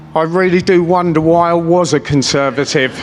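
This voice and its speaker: Noticeable background noise sits behind a man with a high pitch. He speaks at a moderate pace with fairly even intonation. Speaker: businessman and political rally speaker. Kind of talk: political rally speech. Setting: stage with audience. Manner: off the cuff, impassioned.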